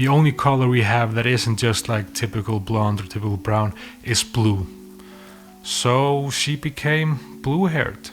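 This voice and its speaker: Music plays in the background as a man in an Icelandic accent speaks at a fairly slow pace, with a medium pitch and lively intonation. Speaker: filmmaker. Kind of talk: casual storytelling to camera. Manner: rambling.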